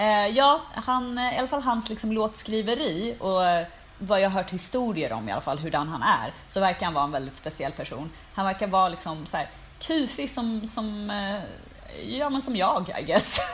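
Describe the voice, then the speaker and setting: Somewhat breathy, a woman's voice moves through very wide pitch swings. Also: medium pitch for a woman, moderate pace. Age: 30s. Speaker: podcast co-host, cultural journalist. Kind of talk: casual chat.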